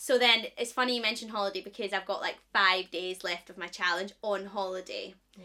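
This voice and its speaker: A woman's bright, sharp tone at medium pitch and fairly quick pace, in a Scottish accent with fairly even intonation. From Scotland. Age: 20s. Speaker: podcast co-host, presenter. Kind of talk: casual chat.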